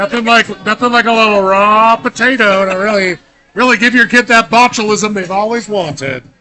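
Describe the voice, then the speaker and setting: A man speaks in a raised, projected voice at a high pitch, his tone bright and sharp. His pace is moderate and his pitch variation ordinary. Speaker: bingo caller. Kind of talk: live event hosting.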